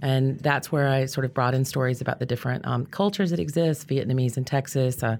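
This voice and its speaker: In a Southern US accent, a woman with a very deep, low pitch speaks at a fairly quick pace, recorded very cleanly over a silent background. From US South (Georgia, Louisiana). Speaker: chef and cookbook author. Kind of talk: casual interview.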